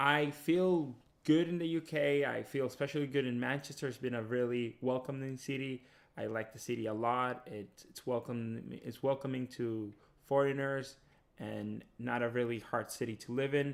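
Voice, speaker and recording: With fairly even intonation, a man's voice stays at a medium pitch. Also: moderate pace. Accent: Spanish. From Dominican Republic. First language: Spanish. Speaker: PhD student. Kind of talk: interview testimony.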